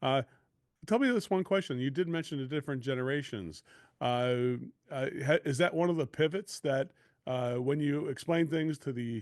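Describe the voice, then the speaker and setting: A man speaks in an unremarkable speaking voice at a moderate pace. His pitch is fairly high, with ordinary variation. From US Midwest, Chicago area. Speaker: podcast host and sales coach. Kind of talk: podcast interview.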